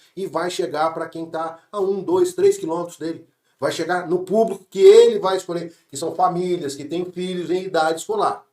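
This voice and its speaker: Here a man with a high voice speaks at a moderate pace. His pitch variation is ordinary. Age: 60s. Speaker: franchise business owner. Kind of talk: business podcast conversation.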